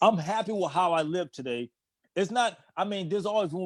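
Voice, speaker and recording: In a very clean recording with a silent background, a man with an American accent talks at a moderate pace with lively intonation and an animated tone. The sound is dry and close, with no echo. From Boston, Roxbury. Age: 50s. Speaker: person in long-term addiction recovery. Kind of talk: casual chat.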